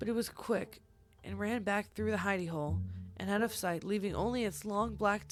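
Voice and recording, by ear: Someone reads aloud. The voice sounds natural.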